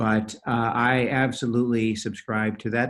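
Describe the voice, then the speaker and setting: This man talks at a medium pitch. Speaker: facial plastic surgeon and business coach. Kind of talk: live podcast Q&A. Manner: fast.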